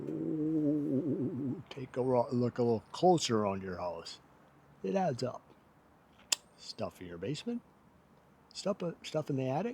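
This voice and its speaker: A man with a medium-pitched, somewhat breathy voice talks at a fairly slow pace, leaving long, frequent pauses. His pitch swings very widely and his loudness varies a great deal. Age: 60s. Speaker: vlogger. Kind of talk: casual vlog monologue. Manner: folksy, conversational.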